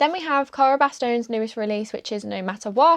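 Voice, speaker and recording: A fairly high-pitched woman with a British accent, talking at a fairly quick pace. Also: quiet background. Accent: British accent, noticeable. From UK. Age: 20s. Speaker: book content creator. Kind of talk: casual chat. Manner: casual, filler-heavy.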